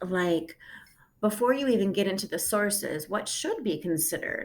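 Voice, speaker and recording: Using an unremarkable speaking voice, a woman keeps a moderate pace and her intonation lively. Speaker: high school English teacher. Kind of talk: recorded lesson.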